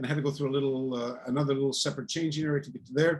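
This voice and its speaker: With fairly even intonation, a man talks at a very fast pace in a fairly high pitch. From eastern Canada, New Brunswick. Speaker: martial arts teacher. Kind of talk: interview storytelling.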